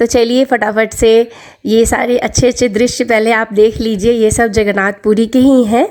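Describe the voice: Her fairly high voice has a slightly mellow tone and little pitch movement, and the woman talks at a moderate pace.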